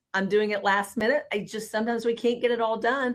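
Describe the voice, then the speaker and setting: Very fast and fairly high in pitch, a woman with a Southern US accent speaks with fairly even intonation. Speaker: housing industry professional. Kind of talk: live panel discussion. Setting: video call livestream. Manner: rising inflection at sentence ends.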